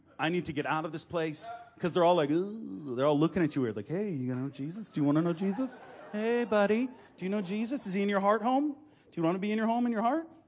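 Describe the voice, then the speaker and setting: Over noticeable background noise, a man talks very fast in a high pitch. His intonation is lively. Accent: American. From Massachusetts, Gloucester north of Boston. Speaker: traveling preacher. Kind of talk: sermon. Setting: stage with audience. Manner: animated.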